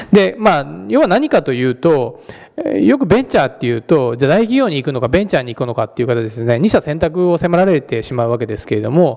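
Very fast and fairly high-pitched, a man talks with very wide pitch swings against a quiet background. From Japan. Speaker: venture capitalist; guest. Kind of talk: lecture. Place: hall.

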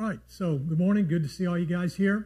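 Against a quiet background, a man speaks very fast in a somewhat breathy voice with a dark, mellow tone and fairly even intonation. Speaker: church teacher. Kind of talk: sermon. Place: studio. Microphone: lapel.

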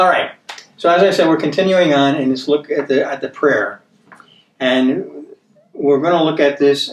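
With long, frequent pauses, a man speaks in a fairly high voice and fairly even intonation, over light background noise and audible room echo. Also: moderate pace. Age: 70s. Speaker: bible teacher. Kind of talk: bible study teaching. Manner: conversational, repeats himself. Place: studio.

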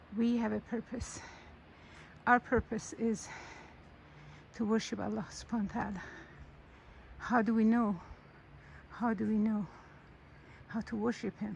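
Somewhat breathy and monotone, a woman speaks at a moderate pace with long, frequent pauses, the sound dry with no echo over light background noise. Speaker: religious reflection narrator. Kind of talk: casual reflective talk, sermon-like. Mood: calm, reflective. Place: forest. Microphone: phone near.

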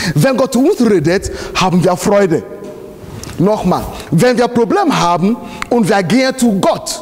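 Very slowly, a man speaks at a high pitch. His pitch swings very widely. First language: not German (speaking German). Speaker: pastor. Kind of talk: sermon. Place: church.

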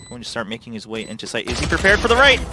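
A man's voice with noticeable background noise. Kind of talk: esports analyst commentary. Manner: conversational, analytical, reactive.

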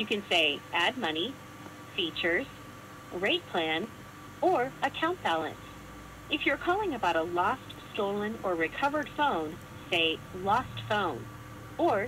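Over light background noise, a woman speaks with long, frequent pauses. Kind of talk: recorded menu prompts.

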